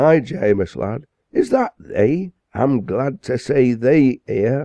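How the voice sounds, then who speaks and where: This is a put-on character voice, raspy and delivered at a very slow pace. The sound is dry and close, with no echo. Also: man, medium pitch for a man. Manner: softened, warm.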